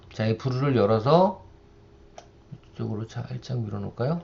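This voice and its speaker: A man's voice sounds somewhat breathy. His pitch swings very widely. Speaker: university lecturer. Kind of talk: software tutorial lecture. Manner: conversational, rhetorical questions.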